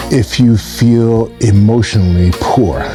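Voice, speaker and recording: Music plays in the background as a man speaks at a medium pitch with lively intonation. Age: 60s. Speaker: relationship and personal growth speaker. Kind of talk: motivational talk to camera.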